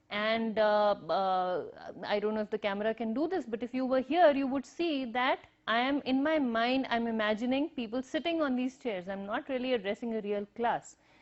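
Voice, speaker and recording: At a moderate pace, a speaker with an Indian accent talks with ordinary pitch variation. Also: woman. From northern India, Himachal. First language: Hindi, Punjabi, Urdu mixed. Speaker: university lecturer. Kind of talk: recorded lecture. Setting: empty classroom, recorded on camera.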